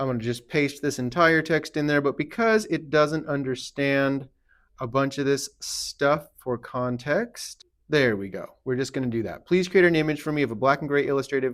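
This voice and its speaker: Heard in a very clean recording with a silent background, a man has a plain, everyday voice at a fairly high pitch. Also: ordinary pitch variation, moderate pace. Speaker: tattoo artist. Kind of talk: tutorial. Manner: casual.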